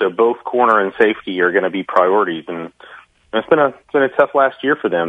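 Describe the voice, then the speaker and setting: Here is a man with a plain, everyday voice. His pitch is fairly low, with ordinary pitch variation. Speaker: sports analyst guest. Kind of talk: casual sports talk interview.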